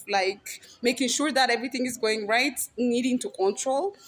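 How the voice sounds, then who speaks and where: Speaking with a non-native accent, a woman uses a high pitch and lively intonation. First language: not English. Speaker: spiritual healer and vlogger. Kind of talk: personal confession vlog. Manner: halting, with many restarts.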